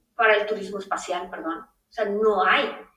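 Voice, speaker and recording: A woman's medium-pitched voice, bright and sharp in tone, with audible room echo. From Mexico. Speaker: space lawyer. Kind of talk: interview. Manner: animated.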